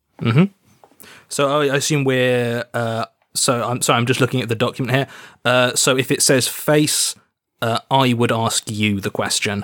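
A man speaks at a moderate pace with a British accent. The recording is very clean, with a silent background. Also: medium pitch for a man, fairly even intonation. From Britain. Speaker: game designer. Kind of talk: casual chat while playing a tabletop RPG.

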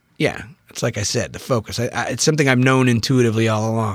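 A man with vocal fry at a very fast pace. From US Pacific Northwest (Bainbridge Island, Washington). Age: 40s. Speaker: novelist. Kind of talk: casual chat.

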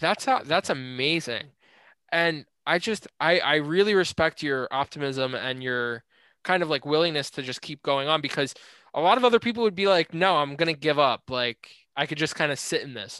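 Lively and fairly high-pitched, a man talks at a moderate pace with a bright, sharp tone. The sound is dry and close with no echo, over a quiet background. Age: young. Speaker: podcast host. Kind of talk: interview.

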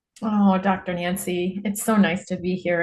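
Somewhat breathy, a woman's medium-pitched voice keeps a fairly even intonation. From Nebraska, US Midwest. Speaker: political advocate. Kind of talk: interview.

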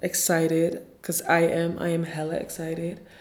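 With audible room echo, a woman talks at a fairly slow pace. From Ghana. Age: 20s. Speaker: podcast host and blogger. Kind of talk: solo podcast introduction monologue.

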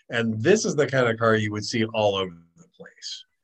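With an American accent, a man talks at a fairly quick pace in a medium pitch. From Ohio. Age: 50s. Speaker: podcast co-host. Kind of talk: casual chat.

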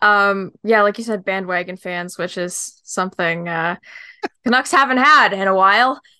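A woman talks at a moderate pace in a bright, sharp tone, her pitch varying in an ordinary way. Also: medium pitch for a woman, very clean recording, silent background. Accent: western Canadian. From Greater Vancouver, Canada. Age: 20s. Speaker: podcast host, student. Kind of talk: casual chat.

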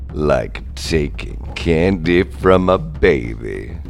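Over clear background noise, a man cackles in a put-on character voice at a very slow pace. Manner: cackling, gleeful.

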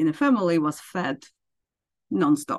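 Her very deep, low pitch carries lively intonation and vocal fry as this woman speaks. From Ukraine. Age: 50s. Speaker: accountant. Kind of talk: interview. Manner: halting.

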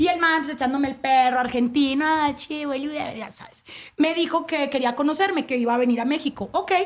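Her voice is high-pitched with ordinary pitch variation. The woman talks at a fairly quick pace. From Colombia, Cali. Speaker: sports TV presenter. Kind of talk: casual chat.

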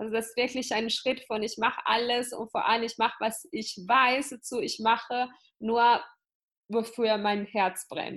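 A woman's fairly high pitch at a fairly slow pace, with fairly even intonation. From Italy. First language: Italian (speaking German). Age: 20s. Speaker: entrepreneur and business coach. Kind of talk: interview.

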